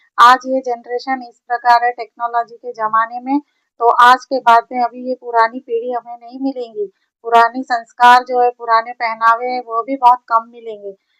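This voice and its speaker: A woman speaks at a high pitch with flat, monotone intonation and big swings in loudness. The sound is dry and close, with no echo. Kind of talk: motivational talk.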